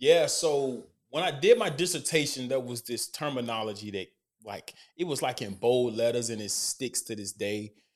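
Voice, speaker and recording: Heard in a very clean recording with a silent background, a man speaks at medium pitch and a moderate pace, with ordinary pitch variation and big swings in loudness. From Alabama, Decatur. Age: 30s. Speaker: co-host, former college football player with a doctorate. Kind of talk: casual interview.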